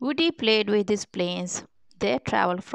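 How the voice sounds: The passage is delivered in a natural reading voice.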